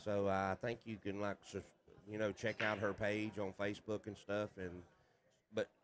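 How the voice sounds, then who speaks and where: Someone talks at a moderate pace with a Southern US accent. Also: man. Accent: Southern hillbilly. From US South, North Carolina. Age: 50s. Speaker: pool player and commentator. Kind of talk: casual chat.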